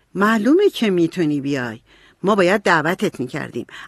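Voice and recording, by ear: Someone reading aloud in a natural voice lets the intonation stay lively.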